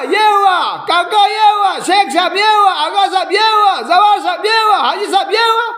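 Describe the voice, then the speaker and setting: With an extremely high pitch and a bright, sharp tone, a man speaks with ordinary pitch variation amid audible room echo. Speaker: Shia religious speaker. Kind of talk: religious speech to followers. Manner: animated.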